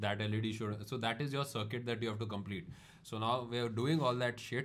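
A man with an Indian accent talks at a very fast pace. His pitch is medium. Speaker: podcast host. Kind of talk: casual comedic chat.

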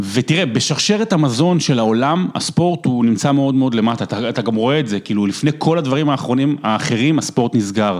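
A man with lively intonation at a fairly quick pace, amid noticeable background noise. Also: medium pitch for a man, hardly any pauses. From Israel, Rehovot. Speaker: sports broadcaster. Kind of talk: casual chat.

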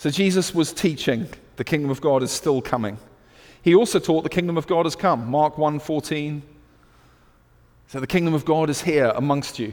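A man speaks with a British accent at a moderate pace. His pitch is fairly high, with ordinary pitch variation. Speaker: preacher. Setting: church service. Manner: energetic, exhortational preaching.

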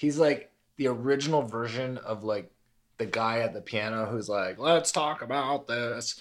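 With a plain, everyday voice, a man talks at a moderate pace and medium pitch, his pitch varying in an ordinary way. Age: 30s. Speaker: podcast host and comedian. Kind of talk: casual interview chat.

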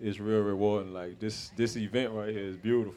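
A man's fairly low voice, flat and monotone. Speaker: community organizer.

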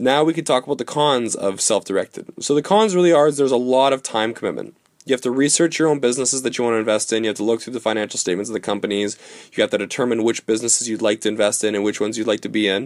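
With a dry, close sound and no echo, a man talks at a very fast pace, his medium pitch showing ordinary variation. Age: 20s. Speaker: financial advisor. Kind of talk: solo podcast explainer.

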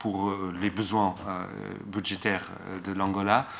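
A man with a fairly low pitch speaks at a very slow pace in a monotone, flat intonation. His tone is bright and sharp. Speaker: political scientist. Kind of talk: academic talk. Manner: slow, searching for words.

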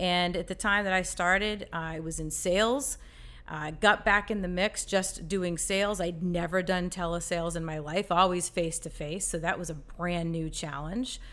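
A woman with an American accent has a plain, everyday voice, speaking at a moderate pace in a fairly low pitch with fairly even intonation. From Massachusetts, US. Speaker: marketing manager. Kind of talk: interview. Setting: studio.

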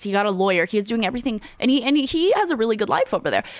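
A woman is heard on a very clean recording against a silent background. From Ukraine. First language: Russian. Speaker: comedian. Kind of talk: casual interview chat.

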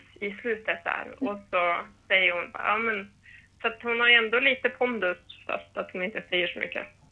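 Here a woman uses a plain, everyday voice, pitched fairly high. She keeps a moderate pace, and her intonation stays fairly even. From northern Sweden, Härnösand. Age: 20s. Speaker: preschool teacher. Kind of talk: casual chat.

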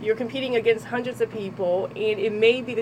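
Over background music, a woman with a New Jersey accent talks at a fairly quick pace with fairly even intonation. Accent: New Jersey American. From Trenton, New Jersey. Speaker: model and personal trainer. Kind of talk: radio interview. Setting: radio studio.

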